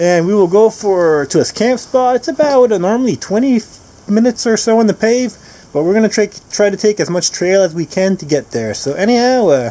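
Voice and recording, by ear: Quick and high-pitched, a man delivers his words with lively intonation in a dark, mellow tone at a fairly quick pace.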